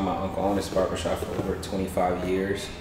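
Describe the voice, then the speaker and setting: Noticeable background noise and audible room echo surround the voice. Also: man. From Detroit, Michigan. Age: 20s. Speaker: barbershop owner. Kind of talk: interview. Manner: hesitant, many fillers.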